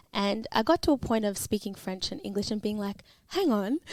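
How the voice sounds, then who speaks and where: A woman talks at a fairly quick pace with an Australian accent. Her voice is fairly high, with ordinary pitch variation. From Melbourne, Australia (Caulfield). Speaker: podcast co-host. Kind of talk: podcast interview.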